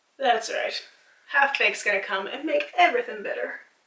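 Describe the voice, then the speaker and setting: A woman talks at a moderate pace, with audible room echo around her. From Canada. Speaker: beauty vlogger. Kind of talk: casual chat. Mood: relaxed, upbeat. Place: home room. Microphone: camera far.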